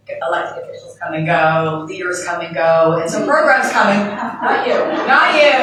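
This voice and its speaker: A woman talks at a moderate pace with a medium pitch, her pitch swinging very widely and her loudness rising and falling sharply. The room echo is audible, and there is noticeable background noise. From Canada. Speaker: business owner, panelist. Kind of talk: panel discussion.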